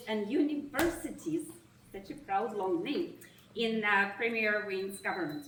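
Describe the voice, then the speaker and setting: A woman with a Russian accent speaks at a moderate pace and a fairly high pitch, her intonation lively, with audible room echo. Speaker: nonprofit executive. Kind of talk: opening remarks speech. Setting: reception event with audience. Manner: formal.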